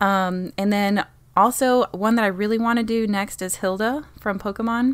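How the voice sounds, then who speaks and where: An unremarkable speaking voice at a moderate pace, with fairly even intonation, on a very clean recording with a silent background. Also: woman, fairly high pitch for a woman. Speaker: guest on gaming podcast. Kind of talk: casual chat.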